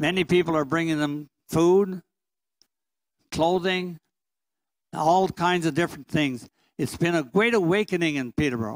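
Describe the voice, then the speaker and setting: Against a quiet background, a man with a high pitch and ordinary pitch variation speaks at a moderate pace, leaving long, frequent pauses. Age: 90s. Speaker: priest. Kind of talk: testimony. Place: church. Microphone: handheld.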